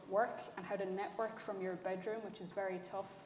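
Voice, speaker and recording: A woman with a Kerry Irish accent is heard with audible room echo and noticeable background noise. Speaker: writer-director. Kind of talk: panel discussion.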